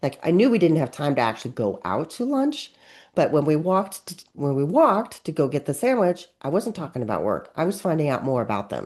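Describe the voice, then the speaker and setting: Over a quiet background, a woman talks fairly quickly at a fairly low pitch with vocal fry and very wide pitch swings. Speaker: webinar presenter and author. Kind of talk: webinar presentation. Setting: online webinar. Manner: fast.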